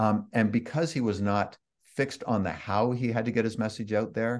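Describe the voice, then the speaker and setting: A man speaks at a moderate pace with a Canadian accent, his pitch fairly low and its variation ordinary. It's a plain, everyday voice over a quiet background. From Canada (Toronto, Ontario). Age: 60s. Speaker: author and online marketer. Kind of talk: interview.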